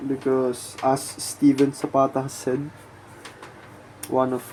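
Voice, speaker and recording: Soft-spoken, very slow delivery with long, frequent pauses. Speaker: art channel host. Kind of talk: casual monologue.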